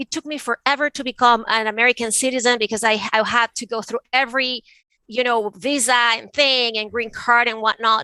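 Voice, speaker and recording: Recorded dry and close with no echo, a woman with a Venezuelan accent speaks high and fairly quickly in a bright, sharp tone. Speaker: art advisor and author. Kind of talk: interview conversation.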